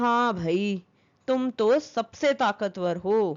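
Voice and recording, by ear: A woman does a cartoonish character voice at a fairly high pitch. She speaks at a very slow pace.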